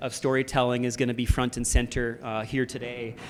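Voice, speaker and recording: Against noticeable background noise, a man speaks at a moderate pace. His pitch is medium and his intonation fairly even. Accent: Canadian. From Canada. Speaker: panel moderator and film producer. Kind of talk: panel discussion moderation.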